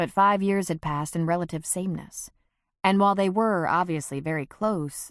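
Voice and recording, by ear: Reading aloud in a natural voice, set against a quiet background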